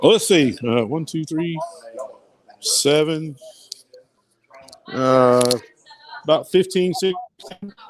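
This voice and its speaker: Mumbling at a very slow pace with long, frequent pauses, a man with a fairly high pitch and a Southern US accent uses lively intonation. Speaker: hobby woodworker. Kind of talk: casual chat. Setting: live stream from a workshop at a maker meetup.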